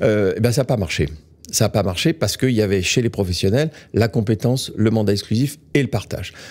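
Against a quiet background, a man talks at a fairly quick pace with a fairly low pitch. His loudness stays very even, with ordinary pitch variation. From France. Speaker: real estate executive; guest. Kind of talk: interview. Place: studio. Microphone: studio mic.

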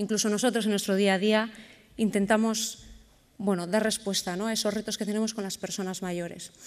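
A woman speaks at a fairly quick pace in a medium pitch. Her intonation is monotone and flat. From Bilbao, Basque Country, Spain. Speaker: educational robotics program organizer. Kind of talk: conference presentation. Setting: stage with audience at a conference. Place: stage. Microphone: podium.

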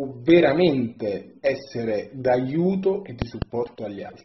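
A man is speaking. His voice is somewhat breathy. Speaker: storyteller. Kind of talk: testimonial message to camera. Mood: warm, grateful. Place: home room. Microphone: phone near.

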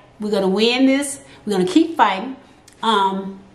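A woman's animated, energetic voice with lively intonation at a moderate pace, with audible room echo. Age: 50s. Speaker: vlogger sharing health experience; vlogger sharing her health experience. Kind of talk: casual vlog talk to camera. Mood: earnest, encouraging. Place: home room.

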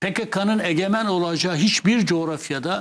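The man speaks at a fairly slow pace. His intonation is lively. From Kurdish Turkey. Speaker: former MP and columnist. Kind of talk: TV interview. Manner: animated.

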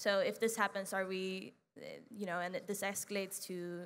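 The tone is bright and sharp. The pace is fairly quick. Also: woman. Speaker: student interviewer. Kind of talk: interview. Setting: stage with audience. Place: hall.

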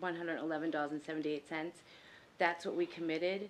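A woman talks in a monotone, flat intonation with light background noise behind her. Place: meeting room. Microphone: podium.

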